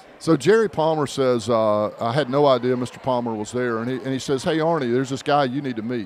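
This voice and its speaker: A man with an American accent talks at a fairly quick pace with hardly any pauses, a medium pitch and ordinary pitch variation, against noticeable background noise. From North Carolina, US South. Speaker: podcast co-host. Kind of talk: casual chat.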